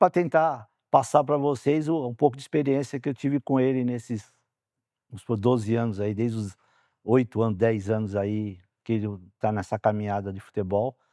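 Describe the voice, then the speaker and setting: A man speaks at a medium pitch and moderate pace, with ordinary pitch variation and a dark, mellow tone. The sound is dry and close with no echo, and the background is quiet. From Brazil, São Paulo. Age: 60s. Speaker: former footballer and player agent. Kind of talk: interview.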